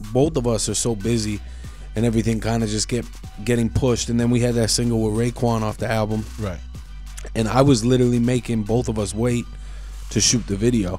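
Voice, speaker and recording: Faint music plays in the background of this very fast delivery, recorded with a dry sound and no echo. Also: man. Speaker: guest. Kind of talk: interview answer. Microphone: studio mic.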